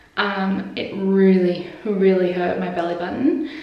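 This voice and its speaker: With an Australian accent, a woman speaks at a medium pitch with ordinary pitch variation. There is noticeable background noise and audible room echo. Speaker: vlogger. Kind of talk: casual vlog.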